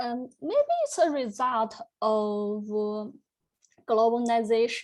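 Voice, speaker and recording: Very slowly and with a Chinese accent, a woman speaks at a fairly high pitch with ordinary pitch variation. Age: young. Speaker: graduate student presenting research. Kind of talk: academic conference Q&A answer. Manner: halting, many fillers.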